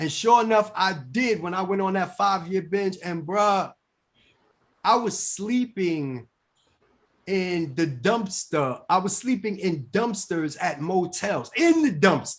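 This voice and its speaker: Lively intonation at a very slow pace over a quiet background. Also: man, high pitch for a man. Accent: New York. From New York, Bronx. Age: 40s. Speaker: recovering addict and author. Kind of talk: casual interview testimony. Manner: animated, repetitive stammering.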